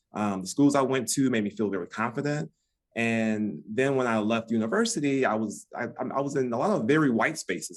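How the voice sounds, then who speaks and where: A man with an American accent speaks at a fairly quick pace in a medium pitch, using an ordinary speaking voice with ordinary pitch variation. The recording is very clean, with a silent background. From US Midwest, Detroit. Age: 50s. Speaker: relationship expert. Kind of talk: podcast interview.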